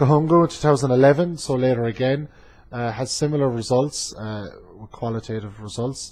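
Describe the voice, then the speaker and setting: Fairly quick, somewhat breathy speech from a man with an Irish accent, medium pitch and ordinary pitch variation, on a very clean recording with a silent background. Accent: Irish accent, noticeable to students. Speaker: community college instructor. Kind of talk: class presentation. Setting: webcam recording. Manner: frequent filler hesitations.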